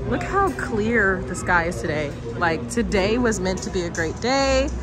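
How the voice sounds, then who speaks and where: Clear background music, a dry sound with no echo, and a moderate pace. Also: woman. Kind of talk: casual vlog chat. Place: stadium. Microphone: phone near.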